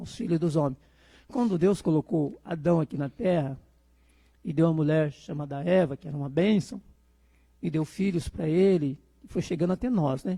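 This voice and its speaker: This man's voice sits high in pitch, with a dark, mellow tone. His pitch varies in an ordinary way. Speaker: preacher. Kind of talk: sermon. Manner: fast.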